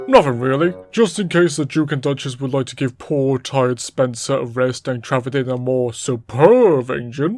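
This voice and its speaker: A man performs a put-on character voice at a moderate pace. His pitch is medium, and he leaves hardly any pauses. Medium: machinima. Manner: pompous.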